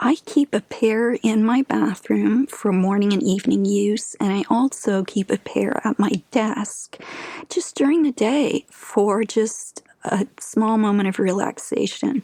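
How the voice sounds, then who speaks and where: Soft-spoken and fairly high in pitch, a woman talks at a fairly slow pace with ordinary pitch variation and very even loudness. The sound is dry and close, with no echo. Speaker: beauty content creator. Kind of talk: ASMR skincare tutorial.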